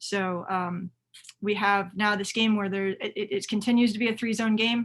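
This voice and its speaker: A woman talks in a monotone with flat intonation. Her voice sits at a medium pitch and is somewhat breathy. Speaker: youth soccer coach. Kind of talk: webinar presentation. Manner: fast.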